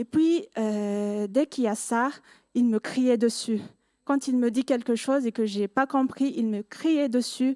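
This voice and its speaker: A woman with a non-native accent talks very slowly at a high pitch, with ordinary pitch variation and a dark, mellow tone. The recording is very clean and dry, with a close sound, no echo and a silent background. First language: not French (speaking French). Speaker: student giving church testimony. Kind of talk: testimony. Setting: church service. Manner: halting.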